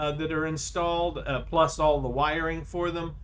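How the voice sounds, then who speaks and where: A man with a fairly high pitch speaks in a space with audible room echo. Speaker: video game streamer. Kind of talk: gameplay commentary. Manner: halting; quiet.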